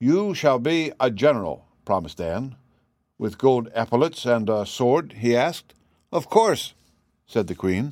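Pitched in the medium range, a man's voice swings very widely in pitch. The recording is very clean, with a silent background. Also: fairly slow pace. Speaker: audiobook reader. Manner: storytelling, animated in dialogue, fairly even and measured in narration.

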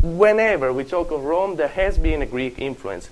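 A man with an Italian accent at a moderate pace, his pitch swinging very widely. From Italy. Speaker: university lecturer on Roman history. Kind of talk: lecture. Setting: classroom with students. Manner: self-deprecating, humorous, laughs often.

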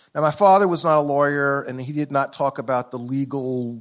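A man's speech shows ordinary pitch variation and a moderate pace. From US South, Columbia, South Carolina. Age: 60s. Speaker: law professor. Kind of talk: lecture. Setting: stage with audience.

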